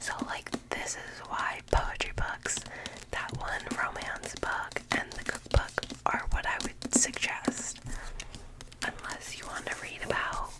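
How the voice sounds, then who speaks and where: With noticeable background noise behind it, the whispering moves at a very slow pace, broken by long, frequent pauses. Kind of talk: ASMR video, casual talk to camera. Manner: whispered.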